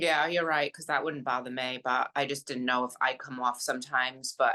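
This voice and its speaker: A woman with a strong Rhode Island accent speaks at a moderate pace, her very deep, low pitch paired with a bright, sharp tone, flat monotone intonation and big swings in loudness. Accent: thick Rhode Island. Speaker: podcast co-host. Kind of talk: casual chat.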